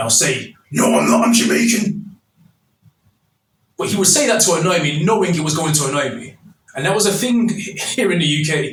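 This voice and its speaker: A man with a Mancunian accent talks at a fairly quick pace and a high pitch, with lively intonation. He leaves long, frequent pauses, and there is audible room echo. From northern England, Manchester (New Moston). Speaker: YouTube commentator. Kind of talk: monologue commentary video.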